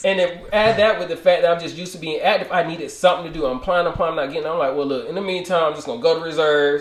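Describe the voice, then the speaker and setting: Talking very fast and loud with hardly any pauses, a man uses a high pitch and ordinary pitch variation. Noticeable background noise runs behind him. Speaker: podcast host. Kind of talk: casual chat.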